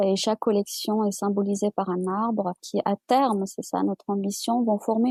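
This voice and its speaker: A woman speaks with a dark, mellow tone at a fairly high pitch. The sound is dry and close, with no echo. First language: Amazigh (Berber) (speaking French). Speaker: publisher and writer. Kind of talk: interview. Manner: halting, many repetitions.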